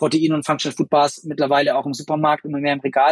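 A man with a fairly high pitch, very fast and monotone with flat intonation. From Bavaria, partly raised abroad. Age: 30s. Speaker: sports marketing agency executive. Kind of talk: podcast interview. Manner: hesitant, many fillers.

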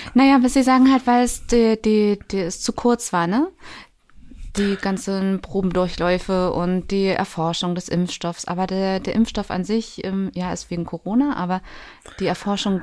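Speaking in a normal speaking voice, a woman keeps a medium pitch and a moderate pace. Her pitch varies in an ordinary way. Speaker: podcast host and social worker. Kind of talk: casual chat. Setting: studio.

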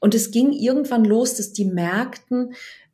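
Dark, mellow tones from a woman, somewhat breathy, with ordinary pitch variation. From Germany, Bergstraße region (Hesse/Baden border). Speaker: dating and relationship coach. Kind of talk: casual interview.

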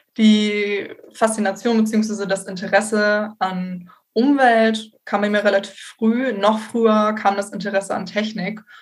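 A woman talks at a very slow pace and medium pitch in a monotone, flat intonation. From northern Germany, Bremen area. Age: 20s. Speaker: environmental engineer, recent graduate. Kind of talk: expert interview.

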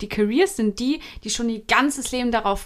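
A woman with an ordinary speaking voice talks at a moderate pace, fairly high in pitch and with ordinary pitch variation. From Hesse, Germany. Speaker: podcast co-host. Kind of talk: casual chat.

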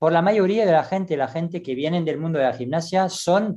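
Lively intonation marks this man's high-pitched voice, which has a dark, mellow tone. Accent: French. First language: French (speaking Spanish). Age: 60s. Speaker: gymnastics coach. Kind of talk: interview. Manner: halting.

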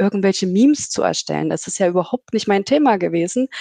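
A woman talks very fast at a medium pitch, the sound dry and close with no echo. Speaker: data analytics team lead. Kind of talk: casual interview chat. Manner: animated, chatty, laughs often.

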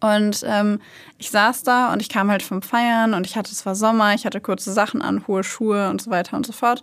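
A woman's plain, everyday voice, fairly high in pitch, fairly quick and fairly even in intonation, on a very clean recording with a silent background. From Germany, Hanover. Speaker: true crime podcast host. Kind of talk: casual chat.

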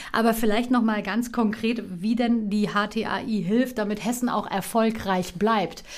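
A woman speaks very slowly in a fairly high, flat monotone, with hardly any pauses. Her loudness stays very even throughout. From Offenbach, Hesse, Germany (born in Istanbul). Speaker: radio and TV presenter. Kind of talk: interview.

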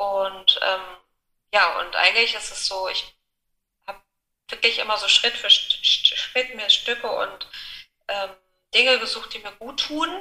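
A woman with a fairly high pitch and a bright, sharp tone talks at a fairly slow pace, leaving long, frequent pauses. Her pitch variation is ordinary, while her loudness swings widely. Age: 40s. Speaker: widow sharing her grief story. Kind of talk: personal testimony in interview. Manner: hesitant, many fillers.

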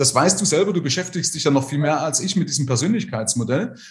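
This man's voice sits fairly high and has vocal fry. His pitch swings very widely. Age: 50s. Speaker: financial advisor. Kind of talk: casual interview.

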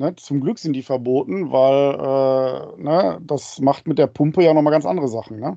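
The man has an unremarkable speaking voice, fairly high in pitch, with lively intonation, a moderate pace and hardly any pauses. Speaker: podcast co-host, father. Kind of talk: casual chat. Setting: video call. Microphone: mic very close to mouth.

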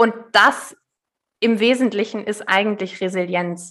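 Her bright, sharp tone stays monotone and flat as this woman talks at a fairly slow pace in a medium pitch. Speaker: resilience coach. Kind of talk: casual interview.

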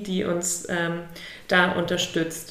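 A woman speaks very slowly at a medium pitch. Noticeable background noise and audible room echo surround her voice. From northern Germany, near Lübeck. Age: 30s. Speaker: architect and charity project founder. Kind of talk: interview. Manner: hesitant with many fillers.

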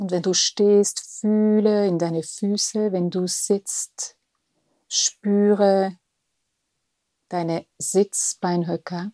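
Speaking very slowly with long, frequent pauses, a woman holds a flat monotone at medium pitch, her dark, mellow tone recorded dry and close with no echo. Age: 50s. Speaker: spiritual podcast host. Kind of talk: guided meditation.

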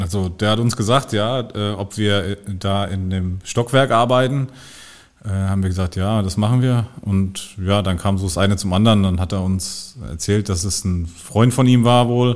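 Speaking with an unremarkable speaking voice, a man keeps a fairly low pitch, a moderate pace and ordinary pitch variation. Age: 40s. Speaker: crime scene cleaning operations manager. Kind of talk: casual chat.

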